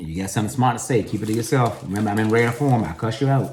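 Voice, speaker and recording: Talking at a very fast pace, a man sounds animated, with ordinary pitch variation. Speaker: vlogger. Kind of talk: casual vlog monologue.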